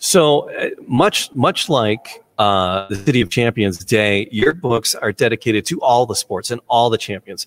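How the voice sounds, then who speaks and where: Using a plain, everyday voice, a man speaks at a fairly slow pace with medium pitch and lively intonation. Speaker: podcast host. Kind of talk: casual podcast chat. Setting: museum gallery.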